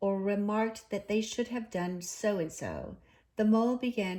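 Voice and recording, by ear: Here a person is reading aloud in a natural voice.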